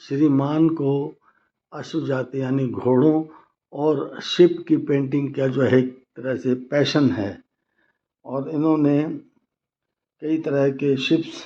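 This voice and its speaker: A man speaks with a dark, mellow tone and a fairly high pitch. His pitch variation is ordinary, and his pauses are long and frequent. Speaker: news reporter. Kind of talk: news report and interview questions.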